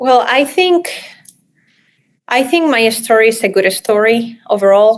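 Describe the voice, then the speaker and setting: A woman with a strong Spanish accent, fairly high-pitched, at a fairly slow pace, lively intonation, very even loudness, and long, frequent pauses. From Spain. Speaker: real estate developer. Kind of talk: interview.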